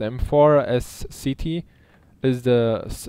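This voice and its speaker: A man's dark, mellow voice with a non-native accent and fairly even intonation. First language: not English. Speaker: gaming YouTuber. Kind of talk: gameplay tutorial. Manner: hesitant, many fillers.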